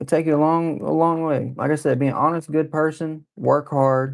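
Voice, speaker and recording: A man speaks at a moderate pace. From East Texas. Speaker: live streamer. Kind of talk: casual livestream chat. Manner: animated.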